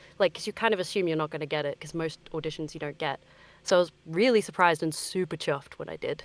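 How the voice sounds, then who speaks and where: Talking at a very fast pace with an Australian accent, a woman uses a fairly low pitch, ordinary pitch variation and big swings in loudness, in a dry, close sound with no echo. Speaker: voice actor. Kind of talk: interview.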